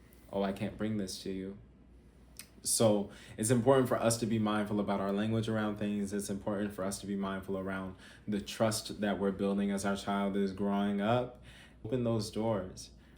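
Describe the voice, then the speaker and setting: The speech comes at a moderate pace in a monotone, flat intonation, with audible room echo. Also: man, fairly low pitch for a man. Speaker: parenting coach. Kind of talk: talking-head advice video.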